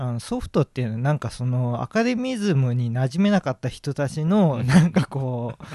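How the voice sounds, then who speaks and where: A man has an unremarkable speaking voice at a medium pitch. He talks at a moderate pace with lively intonation and hardly any pauses. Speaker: painter. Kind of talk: interview.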